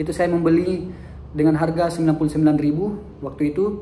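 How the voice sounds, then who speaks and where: Audible room echo surrounds a man who speaks at a high pitch with fairly even intonation. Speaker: teacher and vlogger. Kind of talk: personal storytelling vlog. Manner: halting, with fillers and self-corrections.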